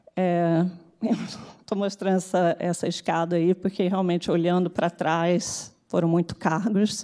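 A woman's dark, mellow tone at a fairly slow pace against a quiet background. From Brazil, Rio de Janeiro. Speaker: tech executive; speaker. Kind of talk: conference talk. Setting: stage with audience. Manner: halting. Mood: reflective, warm. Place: hall. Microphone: podium.

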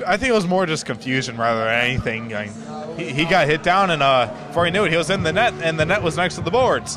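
A man talks at a very fast pace with very wide pitch swings, the sound dry with no echo and noticeable background noise behind him. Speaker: amateur game commentator. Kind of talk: live sports commentary (color analysis). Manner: casual, conversational, excitable on big goals. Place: stadium. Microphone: phone near.

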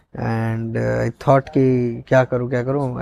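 A man speaks at a fairly slow pace. The sound is dry with no echo, over a quiet background. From India, Odisha. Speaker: stand-up comedian. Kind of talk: casual chat. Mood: relaxed, reflective. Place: studio.

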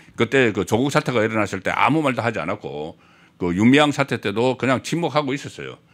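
Vocal fry runs through a man's very fast speech, which has lively intonation. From South Korea. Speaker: political commentator. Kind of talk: political talk show interview. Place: studio. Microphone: studio mic.

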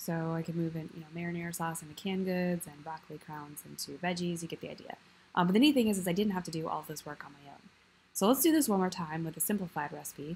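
A woman with an American accent talks at a very fast pace in a somewhat breathy voice of fairly low pitch, with ordinary pitch variation and big swings in loudness. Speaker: video tutorial creator. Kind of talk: tutorial. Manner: casual, with frequent filler words.

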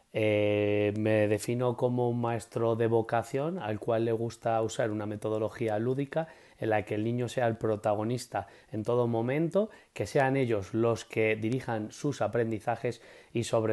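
In a Castilian accent, a dark, mellow voice moves at a fairly slow pace with fairly even intonation against a quiet background. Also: man. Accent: Castilian Spanish (central Spain). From Spain, Madrid. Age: 30s. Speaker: preschool teacher. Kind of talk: interview. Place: home room. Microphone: earbuds.

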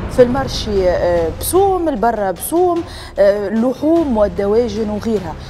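Over light background noise, a woman speaks at a fairly high pitch, her voice swinging very widely up and down. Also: fairly slow pace. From Tunisia. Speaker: TV talk show host. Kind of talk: studio debate moderation. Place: studio. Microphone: lapel.

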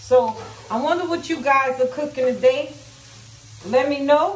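Fairly slow speech from a woman with a high pitch and ordinary pitch variation, plus audible room echo.

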